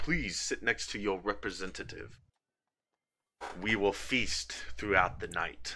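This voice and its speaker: A man does a put-on character voice at a fairly low pitch. He moves at a fairly slow pace, with long, frequent pauses. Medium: actual play. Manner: formal, stately.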